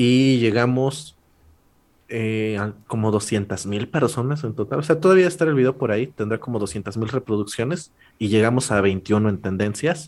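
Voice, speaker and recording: In a very clean recording with a silent background, a man uses an ordinary speaking voice at a medium pitch, with lively intonation and a fairly slow pace. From Mexico, rural Puebla state. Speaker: law student and comedy YouTuber. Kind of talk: casual chat.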